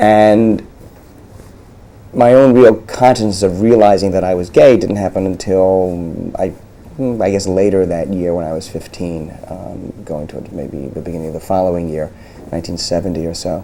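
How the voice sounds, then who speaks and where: The speaker has an American accent, a moderate pace and ordinary pitch variation, with big swings in loudness. Noticeable background noise and audible room echo fill the recording. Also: man, very deep, low pitch for a man. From New York area, US. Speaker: lawyer. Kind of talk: oral history interview. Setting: law office. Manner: halting, many repetitions and fillers.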